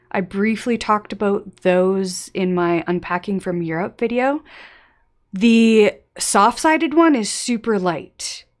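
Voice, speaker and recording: On a very clean recording with a silent background, a woman with an American accent speaks fairly slowly at medium pitch with lively intonation. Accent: often taken for American. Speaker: travel YouTuber. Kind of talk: live stream chat reading viewer questions. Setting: home live stream with face cam. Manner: casual, filler-heavy.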